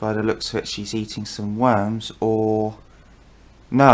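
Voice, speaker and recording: Soft-spoken and very slow, a man with a British accent keeps a fairly low pitch and a flat, monotone delivery. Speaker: wildlife vlogger. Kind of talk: casual wildlife commentary to camera. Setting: at home filming through a window.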